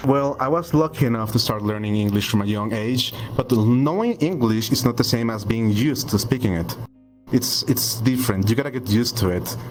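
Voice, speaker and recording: A man talks at a fairly quick pace with a Spanish accent over music in the background. His pitch is medium, with ordinary variation. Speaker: 3D avatar artist. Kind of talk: podcast interview. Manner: halting, repeats words.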